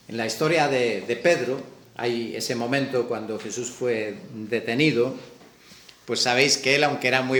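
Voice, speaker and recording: Amid noticeable background noise and audible room echo, a man with a Galician accent speaks with ordinary pitch variation. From Galicia, Spain. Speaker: preacher. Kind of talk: sermon.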